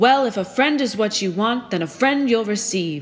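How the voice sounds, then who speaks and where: A woman's put-on character voice, fairly high-pitched, at a moderate pace. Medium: read story.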